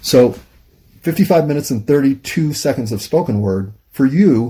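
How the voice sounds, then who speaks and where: Somewhat breathy and dark, mellow in tone, a man speaks at a moderate pace with ordinary pitch variation. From United States. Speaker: YouTube monologue host. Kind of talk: casual monologue. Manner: halting, pauses to find words.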